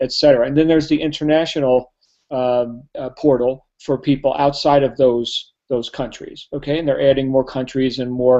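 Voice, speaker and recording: A man with a New Jersey accent talks at medium pitch in a monotone, flat intonation. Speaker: network marketing trainer. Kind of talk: sales pitch. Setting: live online hangout. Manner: fast.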